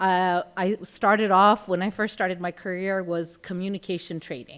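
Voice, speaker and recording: This woman talks at a moderate pace with a slight American accent and fairly even intonation. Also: medium pitch for a woman, very clean recording, silent background. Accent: American to some degree. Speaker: healthcare executive and conference speaker. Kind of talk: conference talk.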